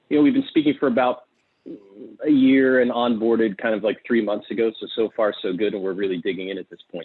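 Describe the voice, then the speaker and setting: This man has an unremarkable speaking voice, medium in pitch with ordinary pitch variation, and an American accent. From US, Pittsburgh. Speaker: fund manager, firm partner. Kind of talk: webinar panel chat.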